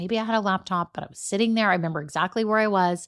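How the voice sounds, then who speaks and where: A woman's animated, very fast speech at medium pitch, with a slight Southern US accent, on a very clean recording with a silent background. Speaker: business podcast host. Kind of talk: solo podcast monologue.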